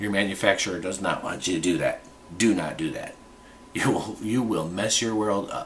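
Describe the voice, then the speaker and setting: Against noticeable background noise, the speaker has an American accent and ordinary pitch variation. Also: man, fairly low pitch for a man, moderate pace. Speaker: gun reviewer vlogger. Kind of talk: unscripted product review video. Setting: home, alone, close to camera. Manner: halting, filler-heavy.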